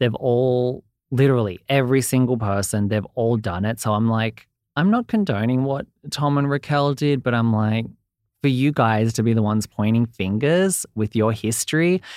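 On a very clean recording with a silent background, a man with an Australian accent speaks at a moderate pace and medium pitch, with ordinary pitch variation, very even loudness, and a dry, close sound with no echo. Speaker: entertainment reporter. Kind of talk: casual interview chat.

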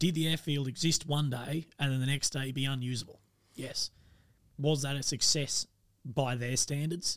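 A man with an Australian accent speaks at a fairly high pitch in a monotone, flat way. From Australia, rural Victoria. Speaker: army veteran. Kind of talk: casual chat.

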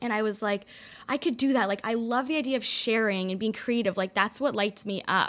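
A woman with a Canadian accent speaks at a fairly quick pace in an unremarkable speaking voice, pitched fairly high. Her pitch varies an ordinary amount, and the recording is very clean with a silent background. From Toronto, Canada. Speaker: wellness content creator and health coach. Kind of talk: casual interview chat. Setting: studio.

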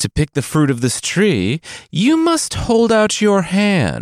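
A put-on character voice from a man, high-pitched and fairly slow, on a very clean recording with a silent background.

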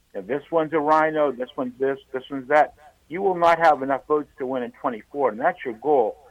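This is a plain, everyday voice at a fairly quick pace. Its pitch variation is ordinary. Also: man, fairly high pitch for a man. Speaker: radio caller. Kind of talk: call-in discussion. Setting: phone call.

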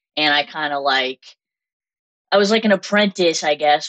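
In a dry, close sound with no echo, a woman speaks at a moderate pace with a low pitch, a fairly bright tone and ordinary pitch variation.

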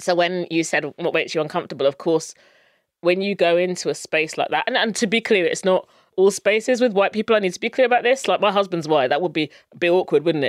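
A woman with a southern English accent at a medium pitch and ordinary pitch variation, talking very fast, in a very clean recording with a silent background and a dry, close sound with no echo. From England (Luton). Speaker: brand strategy consultant. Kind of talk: interview.

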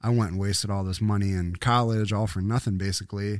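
This man has an ordinary speaking voice with fairly low pitch. He talks at a fairly quick pace in a very clean recording with a silent background. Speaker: podcast guest with a music background. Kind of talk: casual chat.

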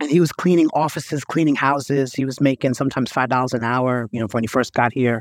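A man with an American accent talks very fast with fairly even intonation. The sound is dry and close, with no echo. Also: medium pitch for a man. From New York. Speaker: healthcare executive and author. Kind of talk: interview conversation.

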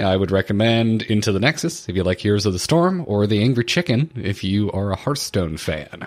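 A husky man speaks with lively intonation at a fairly low pitch. The recording is very clean, with a silent background. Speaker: gaming podcaster. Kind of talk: casual chat.

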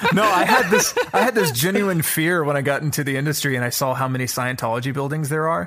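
A man with an American accent talks very fast, with hardly any pauses, a fairly high pitch and lively intonation. Noticeable background noise runs underneath. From US South, Atlanta. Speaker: actor. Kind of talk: casual chat.

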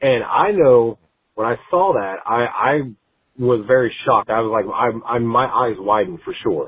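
A man with an American accent talks at a moderate pace in a plain, everyday voice of medium pitch, with ordinary pitch variation. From Texas, north of Houston. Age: 30s. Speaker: caller. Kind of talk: voicemail story.

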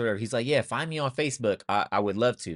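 An American accent comes through with a dry, close sound, no echo and a quiet background. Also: man. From US West Coast, Sacramento, California. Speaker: former pro basketball player, podcast co-host. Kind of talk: casual chat.

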